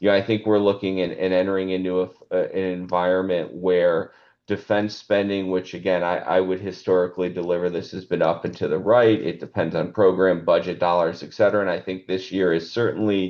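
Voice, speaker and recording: In a very deep, low voice, a man speaks at a fairly quick pace with monotone, flat intonation. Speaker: market research analyst. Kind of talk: webinar presentation. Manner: fast.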